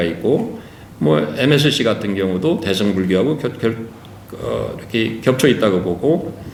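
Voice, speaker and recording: A man's fairly low-pitched voice at a moderate pace, with lively intonation and audible room echo. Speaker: professor. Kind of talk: conference lecture. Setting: conference hall with audience. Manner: halting, many fillers.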